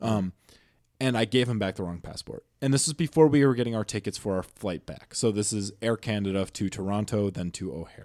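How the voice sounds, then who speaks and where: A man with an American accent and an ordinary speaking voice talks at a fairly quick pace, his fairly low pitch varying in an ordinary way. The recording is very clean with a silent background and a dry, close sound with no echo. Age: 20s. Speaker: college student, roommate. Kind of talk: casual chat. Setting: apartment room, video podcast.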